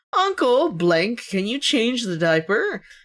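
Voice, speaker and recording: A female-sounding, put-on character voice with a fairly high pitch moves at a fairly slow pace through very wide pitch swings. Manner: sweet, sugary, feigned politeness.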